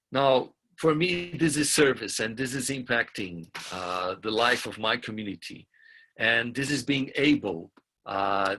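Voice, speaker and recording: Over a quiet background, a man with a bright, sharp tone speaks at a very slow pace, at medium pitch with ordinary pitch variation. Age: 60s. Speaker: community youth program facilitator. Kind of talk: webinar talk, interpreted consecutively. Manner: halting, with fillers.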